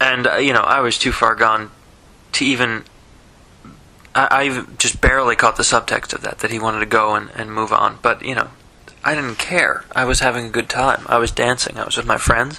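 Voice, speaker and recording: A man speaks in a monotone with flat intonation at a moderate pace. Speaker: diarist recording a personal voice memo; vlogger. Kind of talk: personal audio diary, late-night recollection. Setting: alone, speaking into a voice recorder late at night. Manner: halting, many fillers and repetitions. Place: home room. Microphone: phone near.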